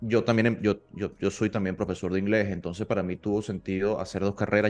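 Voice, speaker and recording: Against a quiet background, a man speaks very fast in a fairly low pitch with fairly even intonation. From Venezuela, Maturín (eastern interior). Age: 30s. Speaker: petroleum engineer and entrepreneur, MBA student. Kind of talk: casual interview. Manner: halting, frequent repetitions and fillers.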